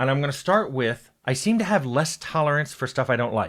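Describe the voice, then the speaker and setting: Using a normal speaking voice, a man talks at a moderate pace with a fairly high pitch and lively intonation in a very clean recording with a silent background. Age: 60s. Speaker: game developer. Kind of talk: casual talk to camera. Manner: conversational, with frequent fillers and restarts.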